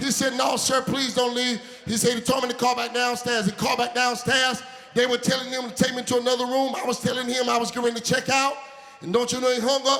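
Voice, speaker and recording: Amid noticeable background noise, a man speaks in an extremely high pitch with monotone, flat intonation. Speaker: preacher. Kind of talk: sermon with humorous story, call-and-response.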